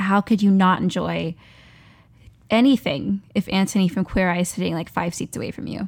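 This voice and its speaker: A woman's medium-pitched, unremarkable speaking voice with ordinary pitch variation at a moderate pace, on a very clean recording with a silent background. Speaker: actor and performer. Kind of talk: casual chat.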